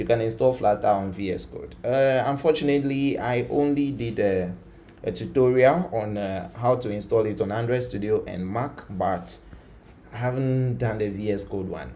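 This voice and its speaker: A man of medium pitch with ordinary pitch variation, heard with audible room echo. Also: moderate pace. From Ghana. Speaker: coding tutor, live streamer. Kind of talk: live coding tutorial stream. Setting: live stream. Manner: casual, many fillers.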